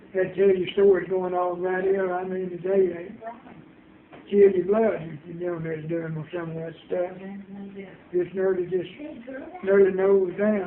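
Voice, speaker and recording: A man speaks at a fairly slow pace in a high pitch, his intonation monotone and flat, with long, frequent pauses. His loudness swings widely, and noticeable background noise sits underneath. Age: 80s+. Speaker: grandparent telling family memories. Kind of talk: casual family interview.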